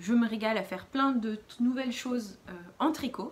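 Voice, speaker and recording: A woman speaks with a fairly high pitch. There is noticeable background noise. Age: 30s. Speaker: knitting podcaster. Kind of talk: casual chat. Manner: hesitant, many fillers.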